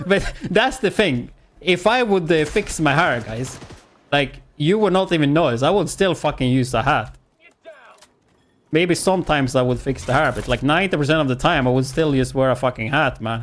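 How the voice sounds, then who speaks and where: A man with a plain, everyday voice, fairly high in pitch, with lively intonation at a moderate pace. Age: 30s. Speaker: gaming streamer. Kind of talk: casual chat. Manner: casual, chatty.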